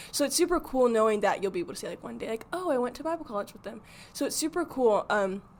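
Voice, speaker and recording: A woman talks very fast in an American accent, her high pitch swinging very widely. Her loudness also rises and falls in big swings. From Arizona. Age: 20s. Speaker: Bible college student. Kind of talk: podcast interview.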